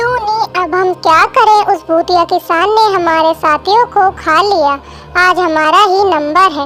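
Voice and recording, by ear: A cartoonish character voice at an extremely high pitch moves at a fairly slow pace amid clear background noise.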